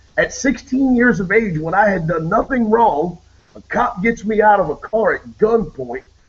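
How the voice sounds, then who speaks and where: With a Southern US accent, a man speaks in a high pitch with lively intonation over noticeable background noise. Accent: southern drawl. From Maryland. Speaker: radio host. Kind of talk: casual chat. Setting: video call.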